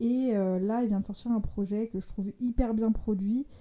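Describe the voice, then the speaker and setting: A woman speaks at a medium pitch with a dark, mellow tone. Her intonation is fairly even. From France, Lyon. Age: 20s. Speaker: photographer, podcast panelist. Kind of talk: casual chat.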